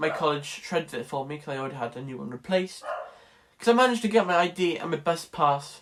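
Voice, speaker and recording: Speaking very fast with a Welsh accent, a man has a high pitch and ordinary pitch variation. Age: young. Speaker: college student vlogger. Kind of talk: casual vlog. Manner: animated.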